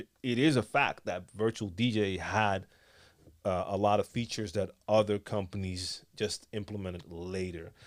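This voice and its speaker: On a very clean recording with a silent background, a man with an American accent speaks at a moderate pace in a fairly low voice with ordinary pitch variation. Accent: American-sounding English. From Netherlands, Amsterdam. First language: Dutch. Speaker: DJ and tutorial youtuber. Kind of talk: live stream Q&A chat. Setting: live stream studio. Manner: casual, many fillers.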